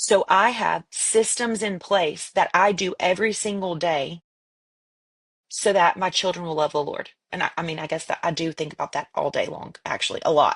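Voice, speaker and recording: A woman speaks in a medium pitch at a moderate pace, with ordinary pitch variation. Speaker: podcast co-host. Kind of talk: casual chat. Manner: loud.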